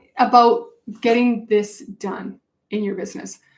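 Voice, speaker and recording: A woman's fairly high-pitched voice, animated in tone, with ordinary pitch variation. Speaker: business coach. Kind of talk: webinar sales pitch. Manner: fast.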